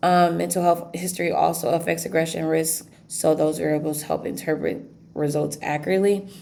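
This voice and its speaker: A woman talks at a fairly quick pace, and audible room echo surrounds her voice. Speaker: student. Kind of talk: class presentation. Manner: fast; halting.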